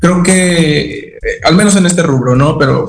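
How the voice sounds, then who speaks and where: Ordinary pitch variation from a man, with room echo audible around him. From Mexico, Veracruz. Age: 30s. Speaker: technology executive. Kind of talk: radio interview. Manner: halting, many fillers and repetitions.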